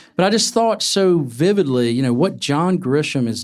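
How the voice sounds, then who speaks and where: In a very clean recording with a silent background, a man with a normal speaking voice talks at a moderate pace with lively intonation. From North Carolina. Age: 50s. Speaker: novelist. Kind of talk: live conversation before a bookstore audience. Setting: bookstore event with audience.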